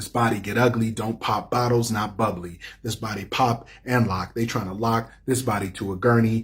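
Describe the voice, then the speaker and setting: A man at a moderate pace with monotone, flat intonation and hardly any pauses, over noticeable background noise. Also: medium pitch for a man. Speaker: poet and playwright. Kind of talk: spoken word poetry performance. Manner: rhythmic.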